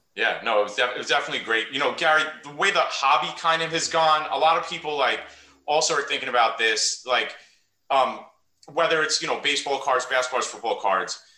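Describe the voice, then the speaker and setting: A man's fairly high voice in a New York accent at a very fast pace. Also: ordinary pitch variation. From US Northeast (Queens, New York). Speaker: podcast host and high school coach. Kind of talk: casual interview.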